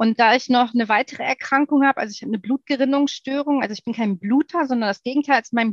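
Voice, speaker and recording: Very fast speech with ordinary pitch variation and a dry, close sound with no echo. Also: woman. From Ruhr area, Germany. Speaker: guest, lipedema patient and amateur triathlete. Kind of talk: casual interview chat.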